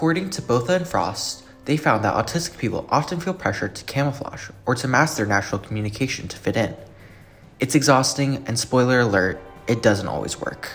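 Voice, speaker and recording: Over music in the background, a man at a medium pitch talks at a fairly quick pace. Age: 20s. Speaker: student video essayist. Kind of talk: scripted narration. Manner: animated.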